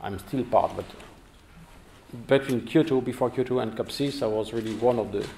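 A man is speaking. Light background noise runs under his voice. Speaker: guest lecturer. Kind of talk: lecture. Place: hall.

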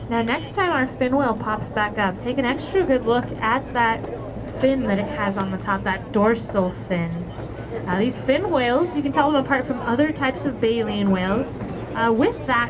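Over noticeable background noise, a woman speaks at a moderate pace. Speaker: tour naturalist guide. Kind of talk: tour commentary. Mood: light, joking. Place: boat.

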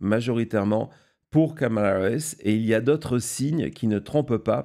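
A man talks at a very slow pace with a medium pitch and ordinary pitch variation. The recording is very clean, with a silent background. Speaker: political news show host. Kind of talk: live political analysis show. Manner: halting, many fillers and repetitions; unscripted, speaks without notes.

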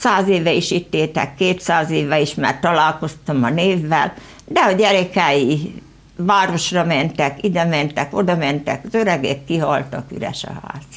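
Her pitch very deep and low, a woman speaks fairly slowly with ordinary pitch variation. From Hungary, rural Veszprém county village; Hungary. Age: 70s. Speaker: local author; guest. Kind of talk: studio interview. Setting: TV studio. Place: studio.

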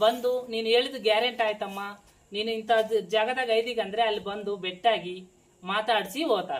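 Here is an unremarkable speaking voice from a woman with a fairly high pitch. Her intonation is fairly even. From Anantapur district, Andhra Pradesh (Karnataka border). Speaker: jogamma, folk religious devotee. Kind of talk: interview answers, life story.

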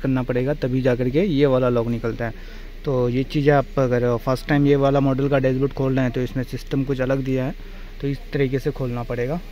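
The sound is dry, with no echo, and light background noise sits underneath. A man speaks at a moderate pace. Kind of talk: tutorial. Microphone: phone near.

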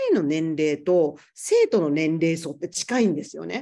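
The background stays quiet. Her voice, a woman's, has a dark, mellow tone. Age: 40s. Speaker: yoga teacher. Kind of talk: casual chat. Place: home room. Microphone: video call.

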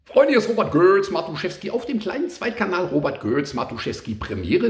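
The speech moves at a fairly quick pace. Audible room echo is present. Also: man. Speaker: YouTuber. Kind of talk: casual vlog chat. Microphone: phone near.

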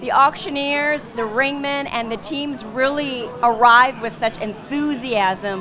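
A woman uses a raised, projected voice at a high pitch and a fairly slow pace over noticeable background noise. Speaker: event commentator. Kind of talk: broadcast commentary on auction competition. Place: hall. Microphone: handheld.

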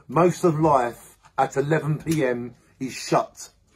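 Pitch moves in an ordinary way through a somewhat breathy voice. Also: man. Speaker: amateur poet. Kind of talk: spoken-word poetry reading. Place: home room. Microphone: phone near.

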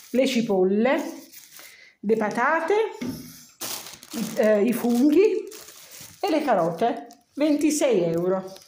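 At a very slow pace with long, frequent pauses, a woman speaks in a high pitch with very wide pitch swings, amid audible room echo and light background noise. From Milan, Italy. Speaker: home cooking video maker. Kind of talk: casual talk to camera. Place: home room. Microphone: phone near.

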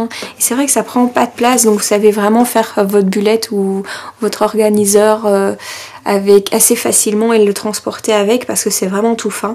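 A woman's fairly high, monotone voice with flat intonation at a moderate pace. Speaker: scrapbooking YouTuber. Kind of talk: product haul show-and-tell. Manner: chatty, many hesitations. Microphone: camera far.

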